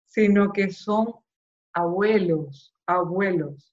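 A woman speaks at a very slow pace. Her pitch is medium with ordinary variation. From Venezuela, Maracaibo. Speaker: audiovisual producer and brain cancer survivor. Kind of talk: interview, personal testimony. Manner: halting, with repetitions after relearning speech.

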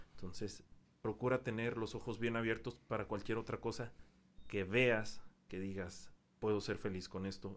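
Speaking in a normal speaking voice, a man talks fairly slowly at a fairly low pitch. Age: 20s. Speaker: English teacher. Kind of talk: casual chat.

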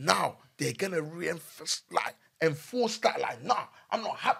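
A high-pitched man with a London accent, bright and sharp in tone, fairly slow, with very wide pitch swings. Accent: London multicultural English. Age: young. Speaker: podcast co-host. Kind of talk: casual chat.

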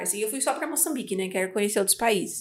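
A woman's ordinary speaking voice, fairly high in pitch, with ordinary pitch variation. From Brazil, Espírito Santo. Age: 20s. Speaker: entrepreneur. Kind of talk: casual chat.

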